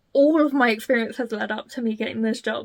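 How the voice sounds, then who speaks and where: A woman's unremarkable speaking voice, fairly high in pitch, at a moderate pace. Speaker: tarot reader. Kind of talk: casual talk to camera.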